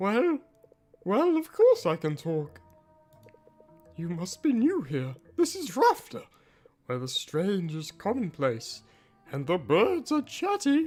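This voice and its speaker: Over faint music in the background, a woman in a put-on character voice speaks at a medium pitch and a fairly slow pace, with long, frequent pauses. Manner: chatty, playful.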